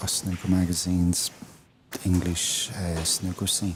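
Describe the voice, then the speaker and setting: A man with a very deep, low pitch at a moderate pace, monotone and flat, over noticeable background noise. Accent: Irish. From Ireland. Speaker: snooker commentary guest. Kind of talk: casual chat. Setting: commentary booth.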